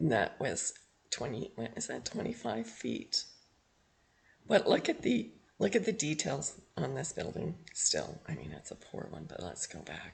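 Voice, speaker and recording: A man with a western Canadian accent at a fairly slow pace, his loudness swinging widely. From Canada, Edmonton Alberta. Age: 60s. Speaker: history video blogger. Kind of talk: casual narrated screen walkthrough. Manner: halting, self-correcting.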